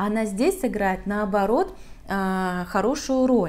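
This woman's voice has a dark, mellow tone, lively intonation and a fairly slow pace. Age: 40s. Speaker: makeup artist. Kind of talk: tutorial. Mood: calm, explanatory.

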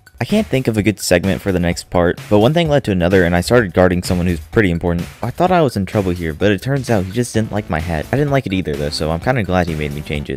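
A man's very deep, low voice at a very fast pace, hardly any pauses, and music in the background. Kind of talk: video game review voiceover. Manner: casual, joking.

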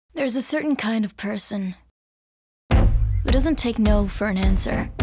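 A woman talks at a fairly slow pace. Behind her, music plays. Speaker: voice actor. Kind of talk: TV commercial read.

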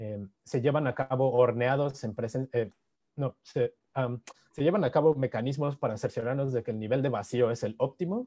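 In a Mexican accent, the speaker has a dark, mellow tone, ordinary pitch variation and a moderate pace against a quiet background. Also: man. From Mexico. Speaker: physicist giving a seminar; presenter. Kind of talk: lecture. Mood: happy, warm greetings. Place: home room. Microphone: video call.

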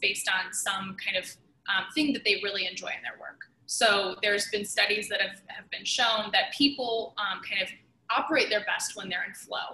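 A woman speaks at a moderate pace, with audible echo from the room. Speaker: podcast guest, sales leader. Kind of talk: interview answer. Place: home room. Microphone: video call.

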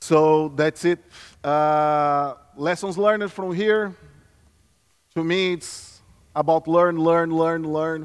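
A man with a Brazilian Portuguese accent speaks very slowly at a fairly high pitch, with fairly even intonation. Long, frequent pauses fall in a quiet background. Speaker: security consultant; conference presenter. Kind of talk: conference talk. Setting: stage with audience. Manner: halting. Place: stage. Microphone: podium.

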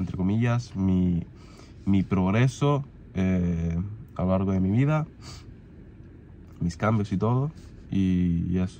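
A man with a low pitch and a dark, mellow tone speaks at a slow pace.

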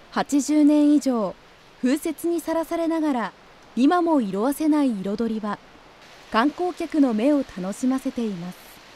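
Lively intonation from a woman at a high pitch, fairly slow in pace, with a dark, mellow tone. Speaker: narrator. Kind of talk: scripted narration.

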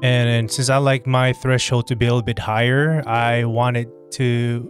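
A man speaks at a fairly slow pace in a monotone, flat intonation. The sound is dry with no echo, with faint music in the background. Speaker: streamer. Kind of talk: tutorial. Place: home room. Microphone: studio mic.

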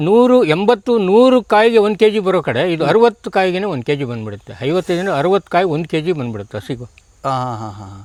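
A man with a high pitch speaks with very wide pitch swings. The recording is very clean with a silent background, and the sound is dry and close with no echo. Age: old. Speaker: retired teacher and farmer. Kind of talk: interview.

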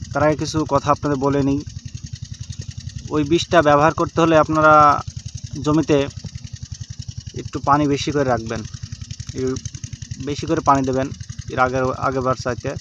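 A man speaks in a monotone, flat intonation. The sound is dry with no echo, but noticeable background noise is present. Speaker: farmer vlogger. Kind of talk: tutorial. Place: farm machine. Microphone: phone near.

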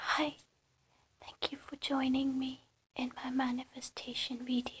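A soft-spoken woman's high voice at a fairly slow pace. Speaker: reiki practitioner. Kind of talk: ASMR guided ritual instructions. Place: home room. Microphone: phone near.

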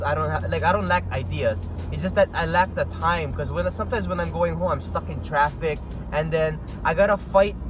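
Dry, echo-free sound of a man talking amid noticeable background noise. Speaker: vlogger. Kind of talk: casual vlog chat. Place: car. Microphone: earbuds.

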